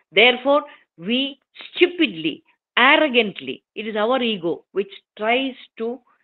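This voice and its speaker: With a Keralan accent, a woman talks at a fairly slow pace in a high pitch. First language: Malayalam. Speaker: invited speaker at a scholarly forum. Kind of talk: formal talk.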